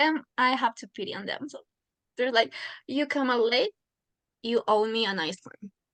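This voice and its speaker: Recorded with a dry, close sound and no echo, a woman talks at a high pitch. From Ecuador. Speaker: student. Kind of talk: interview.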